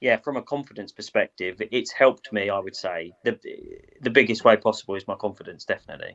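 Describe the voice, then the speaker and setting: A man with a British accent at a very fast pace. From Britain. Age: 30s. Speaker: boxing cutman. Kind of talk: interview.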